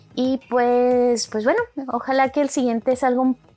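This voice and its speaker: A woman's high voice comes through noticeable background noise. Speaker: podcast co-host. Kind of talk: solo monologue, casual. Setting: home bedroom. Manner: halting, repeats words.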